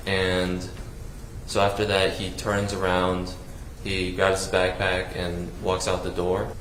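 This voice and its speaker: A man with an American accent speaks very slowly in a very deep, low, monotone, flat voice, with audible room echo and noticeable background noise. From US South, South Carolina. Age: 20s. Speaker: trial witness. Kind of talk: testimony. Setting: courtroom. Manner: halting.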